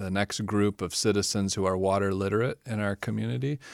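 A man with a Midwestern American accent speaks at a moderate pace in a fairly low pitch, his intonation flat and monotone. The recording is very clean and dry, close with no echo, over a silent background. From Michigan. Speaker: environmental science professor. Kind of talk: interview.

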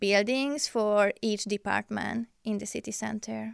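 A woman with a Hungarian accent speaks at a moderate pace in a fairly high pitch, her dry, close sound free of echo on a very clean recording with a silent background. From Hungary, outskirts of Budapest. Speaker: international student and psychology researcher. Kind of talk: interview. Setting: studio. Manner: halting, many fillers.

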